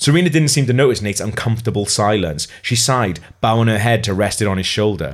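Reading aloud in a natural voice, pitch rising and falling in an ordinary way

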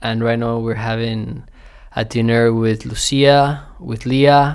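In a Spanish accent, a man speaks at a medium pitch and a fairly slow pace with monotone, flat intonation. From Mexico (Querétaro), then Texas from age nine. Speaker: farm assistant manager. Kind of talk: casual personal talk. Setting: at home.

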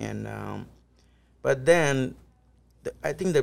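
The man talks at a very slow pace. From northern India, near New Delhi. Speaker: DJ and festival promoter. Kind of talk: casual interview. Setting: lounge club venue.

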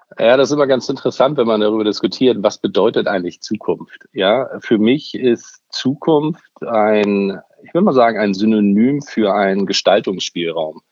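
A plain, everyday voice at a moderate pace with ordinary pitch variation. The loudness swings widely. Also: man, medium pitch for a man. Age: 50s. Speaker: media executive. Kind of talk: interview.

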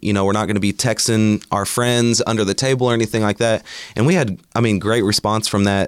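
With an Oklahoma accent, a man speaks at a fairly quick pace and fairly low pitch, with fairly even intonation, very even loudness, and a dry, close sound with no echo. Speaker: community organizer. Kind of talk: casual chat. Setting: studio.

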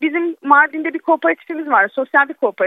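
A woman talks with ordinary pitch variation. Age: 40s. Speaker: chef and volunteer kitchen organizer. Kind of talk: radio interview.

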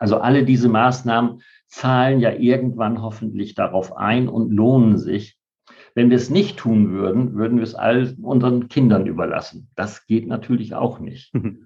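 A man talks in a medium pitch with an ordinary speaking voice. His pace is moderate and his intonation fairly even. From Bremen. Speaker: party politician. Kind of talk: interview.

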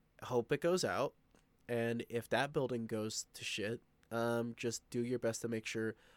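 A man in an ordinary speaking voice talks at a moderate pace and medium pitch with fairly even intonation. The recording is very clean with a silent background, and the sound is dry and close with no echo. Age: 20s. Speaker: podcast host. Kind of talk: casual monologue. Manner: casual, filler-heavy.

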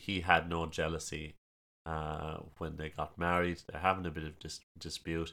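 A man with a strong Kerry accent speaks at a fairly slow pace in a very deep, low pitch, his bright, sharp tone delivered with monotone, flat intonation. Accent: strong Kerry Irish. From Ireland, County Kerry. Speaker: storyteller. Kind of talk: casual chat about folklore.

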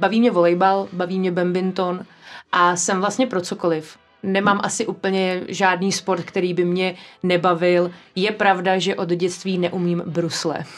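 Over background music, the speaker goes at a fairly slow pace with monotone, flat intonation. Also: woman, medium pitch for a woman. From Prague, Czechia. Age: 20s. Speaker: office and real estate manager. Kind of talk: interview. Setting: studio.

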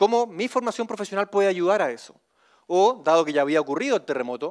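Speaking with a Chilean accent, a high-pitched man makes very wide pitch swings in a very clean, dry, close recording with a silent background and no echo. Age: 40s. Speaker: civil engineer. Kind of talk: motivational talk.

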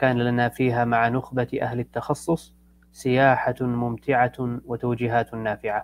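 A calm, monotone man at a medium pitch, very slow yet with hardly any pauses, in a dry, close recording with no echo. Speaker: club moderator. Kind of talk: formal introduction. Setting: live stream. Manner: formal.

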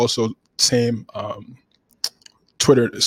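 Dry and close with no echo, a man's voice holds monotone, flat intonation. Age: 20s. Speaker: sports podcast host. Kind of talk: casual podcast monologue.

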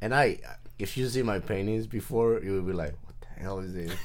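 A Spanish accent with audible room echo. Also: man. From Mexico, Nayarit coast. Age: 40s. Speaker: artist. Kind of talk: casual interview chat.

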